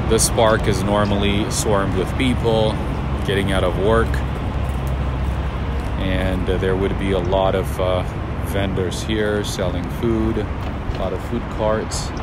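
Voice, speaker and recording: A man at a fairly slow pace with long, frequent pauses, in a dry sound with no echo over loud background noise. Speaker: city walk vlogger. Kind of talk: casual vlog commentary. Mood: calm, observant. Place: street. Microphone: phone near.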